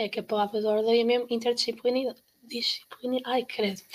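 Speaking fairly quickly, a woman uses a fairly high pitch and a monotone, flat intonation. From Portugal, Caldas da Rainha. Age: 20s. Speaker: university student. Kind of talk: casual chat.

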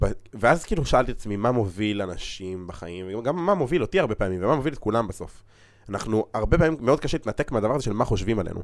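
Speaking very fast, a man delivers his words with lively intonation. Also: medium pitch for a man. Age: 20s. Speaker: podcast host. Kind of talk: casual interview chat.

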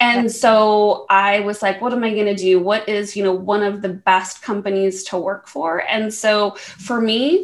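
A woman speaks with an American accent at a medium pitch. Noticeable background noise runs under her voice. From US West, Las Vegas. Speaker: tech program manager. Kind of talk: casual chat.

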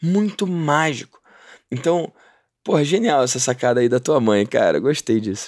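At a moderate pace, an ordinary speaking voice moves with lively intonation. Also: man, fairly high pitch for a man. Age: 30s. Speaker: podcast host. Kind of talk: casual interview chat. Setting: remote call from Orlando.

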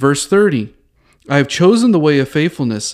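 In a very clean recording with a silent background, a man with a fairly high pitch speaks in a normal speaking voice. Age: 40s. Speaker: podcast host teaching theology. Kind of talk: solo teaching podcast on Bible study. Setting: recording alone in a bathroom at a bistro table. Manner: casual with frequent fillers and restarts.

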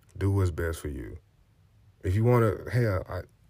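A man speaks in an animated tone. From US South, Montgomery, Alabama. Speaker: podcast host. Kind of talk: motivational monologue.

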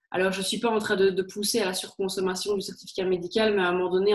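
A woman's medium-pitched voice with a Liège accent and fairly even intonation. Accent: Liège Belgian French. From Belgium, Liège. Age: 30s. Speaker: HR consultant and career coach. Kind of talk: interview.

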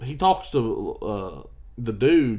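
This man speaks with an American accent. His tone is dark and mellow. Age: 20s. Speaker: podcast co-host. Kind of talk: casual chat. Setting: on a couch.

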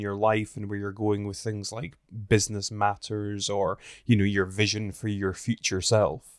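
In a very clean recording with a silent background and a dry, close sound with no echo, a man with a Scottish accent speaks in a fairly low pitch. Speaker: podcast host. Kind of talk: casual chat. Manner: laughs a lot.

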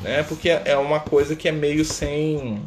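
A man with a fairly high pitch and a relaxed tone. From Minas Gerais, Brazil (Contagem). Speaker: spiritist study leader. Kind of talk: livestream talk. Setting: Instagram live stream. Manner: relaxed, filler-heavy with frequent né.

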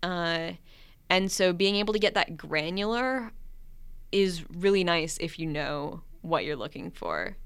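A woman with an ordinary speaking voice talks fairly slowly at a fairly low pitch, with ordinary pitch variation. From Minnesota. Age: 20s. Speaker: communications professional and aspiring novelist. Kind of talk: casual interview.

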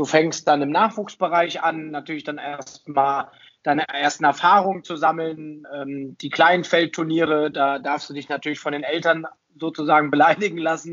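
This man uses a normal speaking voice at a fairly high pitch. He moves at a moderate pace with fairly even intonation. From Germany, Hesse (Taunus). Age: 30s. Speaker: ice hockey referee. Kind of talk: podcast interview.

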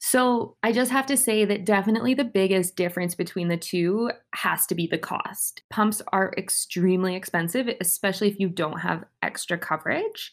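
A woman with a Canadian accent and an ordinary speaking voice, at a moderate pace with hardly any pauses, ordinary pitch variation, and a very clean recording with a silent background. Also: medium pitch for a woman. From Saskatchewan, Canada. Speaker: podcast co-host, medical student. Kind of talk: casual chat.

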